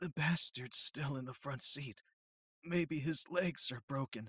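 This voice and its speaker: A woman puts on a character voice with a very deep, low pitch. She speaks fairly slowly. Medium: read story. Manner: blunt, clipped, tough.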